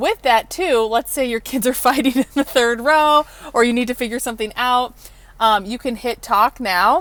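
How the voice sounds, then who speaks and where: A loud woman's voice at a high pitch. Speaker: car dealership presenter. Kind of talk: product tour. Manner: animated.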